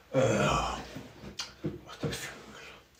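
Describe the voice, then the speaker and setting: With a Norwegian accent, a man speaks at a very slow pace amid audible room echo. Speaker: streamer. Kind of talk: casual live stream talk. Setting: small room at home. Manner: halting.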